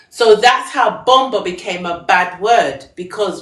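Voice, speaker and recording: Over noticeable background noise, a woman speaks at a fairly slow pace and a medium pitch. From England. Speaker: singer and fashion designer. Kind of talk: live stream talk.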